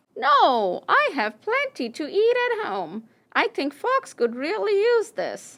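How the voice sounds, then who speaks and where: A cartoonish character voice moves along at a fairly slow pace. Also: female-sounding voice, extremely high pitch for a woman. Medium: puppet. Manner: excited, bouncy.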